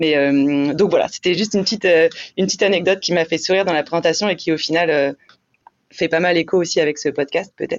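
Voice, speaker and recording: Very fast and very even in loudness, a woman speaks at a fairly low pitch with fairly even intonation. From France, La Rochelle (western France). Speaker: offshore racing team director. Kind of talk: interview. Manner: halting, many repeated words.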